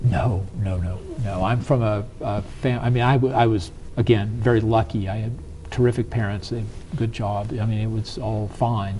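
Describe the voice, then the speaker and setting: A man with an American accent speaks at a moderate pace in a fairly low voice with fairly even intonation, over noticeable background noise. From US South. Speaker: business strategist. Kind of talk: interview.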